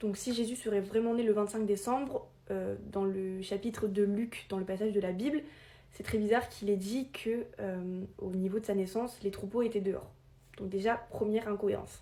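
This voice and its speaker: Dark and mellow in tone, a woman's somewhat breathy voice sits at a medium pitch with fairly even intonation. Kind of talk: informal explainer video. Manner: fast; hesitant, many filler sounds.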